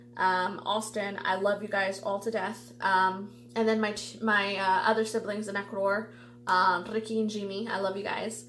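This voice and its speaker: A woman speaks at a fairly slow pace with a medium pitch and ordinary pitch variation. Room echo is audible. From US (Ecuadorian-born). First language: Spanish. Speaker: tarot reader youtuber. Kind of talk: casual vlog monologue. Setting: home video recording under lights. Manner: chatty, many fillers.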